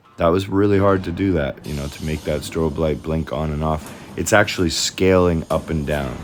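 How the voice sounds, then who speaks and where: A moderate pace with hardly any pauses, over noticeable background noise. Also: man, very deep, low pitch for a man. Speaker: 3D designer. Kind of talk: tutorial. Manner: monotone.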